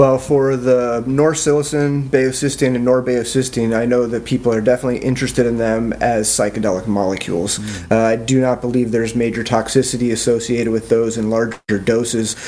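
Over noticeable background noise, a man at a medium pitch talks with fairly even intonation and hardly any pauses. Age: 40s. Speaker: analytical chemist. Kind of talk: podcast interview. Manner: halting.

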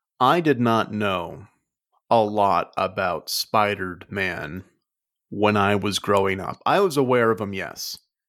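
Spoken at a very slow pace with ordinary pitch variation, this voice has an American accent. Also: man, fairly low pitch for a man. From Las Vegas, US. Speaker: podcast co-host. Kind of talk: casual chat. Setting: video call.

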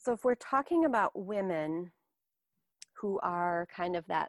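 Recorded very cleanly with a silent background, a woman speaks at medium pitch in a dry, close sound with no echo. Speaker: wellness professional, yoga and fitness instructor. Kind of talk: coaching call. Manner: gentle, graceful tone.

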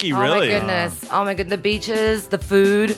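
A woman with an American accent talks over music in the background. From Australia. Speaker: podcast guest.

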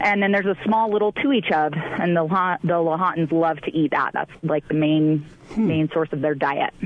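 Against noticeable background noise, a woman speaks at a fairly low pitch with very even loudness. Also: ordinary pitch variation, moderate pace. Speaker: fishing guide booking agent. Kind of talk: casual radio interview.

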